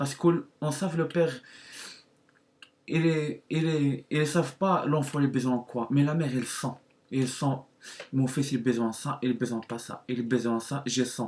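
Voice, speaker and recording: A man with a non-native accent, fairly high pitch, fairly even intonation, and long, frequent pauses. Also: moderate pace. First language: not French (speaking French). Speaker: YouTuber. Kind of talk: testimony. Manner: halting.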